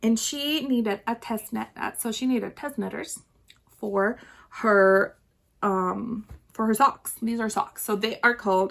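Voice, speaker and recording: A woman with a slight Chilean accent speaks at a very slow pace in a fairly high pitch with ordinary pitch variation. The recording is very clean, with a silent background. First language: Spanish. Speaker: knitting podcaster. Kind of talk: casual video podcast chat. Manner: chatty, frequent fillers and restarts.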